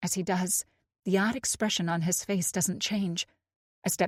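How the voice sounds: A natural reading voice with fairly even intonation is heard over a quiet background.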